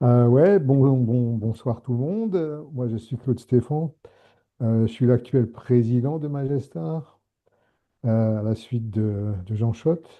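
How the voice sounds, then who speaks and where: Ordinary pitch variation runs through speech delivered at a very slow pace. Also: man, medium pitch for a man. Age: 70s. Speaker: retired set designer, association president. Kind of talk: self-introduction in a meeting. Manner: halting.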